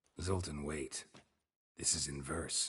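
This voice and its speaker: In a put-on character voice, a man delivers his lines in a deadpan tone, very deep and low in pitch and raspy. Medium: video game. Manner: terse, deadpan.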